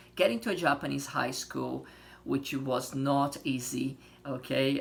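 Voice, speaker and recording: A man with a Portuguese accent speaks at a fairly slow pace. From Brazil. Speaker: language teacher. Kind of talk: tutorial. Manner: casual, many fillers.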